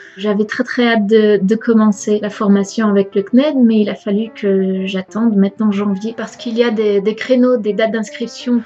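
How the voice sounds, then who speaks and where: Over noticeable background noise, a woman speaks at a fairly high pitch and a fairly slow pace with monotone, flat intonation. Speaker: vlogger, trainee French teacher. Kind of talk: personal vlog. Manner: hesitant, stumbling; closed pronunciation.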